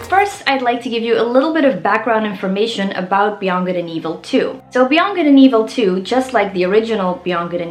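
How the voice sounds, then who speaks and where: With a Flemish accent, a woman speaks at a fairly high pitch and ordinary pitch variation. Audible room echo and noticeable background noise surround her voice. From Flanders, Belgium. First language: Dutch (Flemish). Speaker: musician and YouTuber. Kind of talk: video blog explainer.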